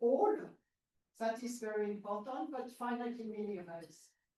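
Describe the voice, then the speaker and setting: With lively intonation and a high pitch, a woman talks over audible room echo. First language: not English. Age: old. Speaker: mathematician. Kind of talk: lecture. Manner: halting, many fillers.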